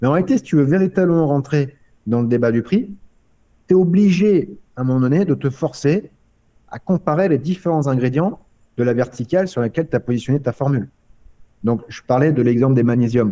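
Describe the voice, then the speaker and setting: A dark, mellow tone with lively intonation and long, frequent pauses. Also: man, fairly high pitch for a man. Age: 30s. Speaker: company founder. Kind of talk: podcast interview. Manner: halting.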